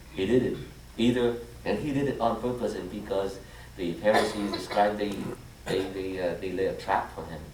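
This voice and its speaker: A man with a Vietnamese accent talks at a fairly quick pace in a fairly low pitch. Noticeable background noise and audible room echo surround him. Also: ordinary pitch variation. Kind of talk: homily. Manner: halting, frequent fillers and restarts.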